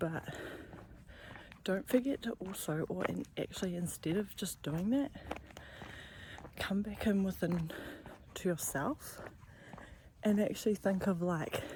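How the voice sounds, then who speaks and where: A quiet woman with a medium pitch speaks with lively intonation, leaving long, frequent pauses. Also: fairly slow pace. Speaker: vlogger. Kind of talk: personal vlog.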